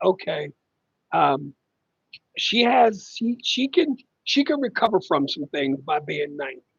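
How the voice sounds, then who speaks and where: The speaker talks at a fairly slow pace. The voice is loud. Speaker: family caregiver livestreamer. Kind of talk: casual live stream chat.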